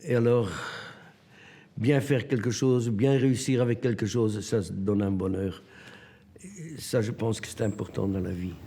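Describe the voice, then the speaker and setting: A man with a medium pitch and a dark, mellow tone speaks at a fairly slow pace, leaving long, frequent pauses. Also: ordinary pitch variation. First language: Dutch (Flemish) (speaking French). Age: 80s+. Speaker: sculptor. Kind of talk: documentary interview. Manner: halting.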